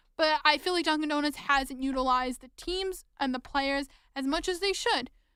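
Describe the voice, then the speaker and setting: A woman's raised, projected voice, high in pitch with a bright, sharp tone. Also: ordinary pitch variation, moderate pace, big swings in loudness. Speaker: podcast host, sports fan. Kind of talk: podcast monologue. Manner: passionate, frustrated, urgent.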